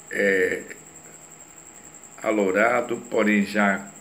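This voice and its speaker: A man speaks in a fairly low pitch. Audible room echo surrounds his voice. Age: 60s. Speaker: retired police chief and psychoanalyst. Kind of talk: lecture.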